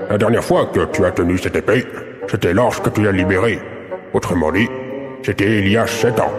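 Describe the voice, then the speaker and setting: Using a put-on character voice, a man talks at a fairly quick pace with a fairly low pitch, over clear background noise and a slight echo. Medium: audio drama. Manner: formal, lofty.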